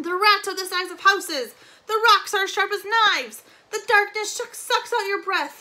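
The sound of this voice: A man puts on a character voice, loud with a bright, sharp tone and an extremely high pitch. He speaks at a fairly slow pace with ordinary pitch variation.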